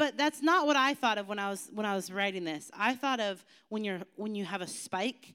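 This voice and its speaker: The speaker has an animated tone and a fairly quick pace. The recording is very clean, with a silent background. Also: woman. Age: 40s. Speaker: youth pastor. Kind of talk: youth sermon.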